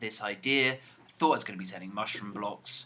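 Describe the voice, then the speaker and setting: A man with a British accent at a moderate pace, his intonation fairly even. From UK. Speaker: gaming YouTuber. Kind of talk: casual gameplay commentary. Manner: relaxed, chatty.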